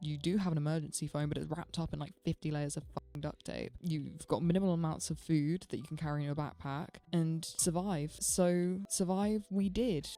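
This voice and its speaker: With a British accent and hardly any pauses, a woman speaks in a very deep, low pitch with a dark, mellow tone. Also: fairly even intonation, moderate pace. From UK. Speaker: gaming YouTuber. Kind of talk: casual gameplay commentary. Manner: chatty, rambling.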